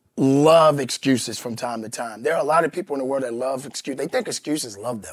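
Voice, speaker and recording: Loudness swings widely while the speech flows on with hardly any pauses. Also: man. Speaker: fitness coach, motivational speaker. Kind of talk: motivational speech. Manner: emphatic, forceful.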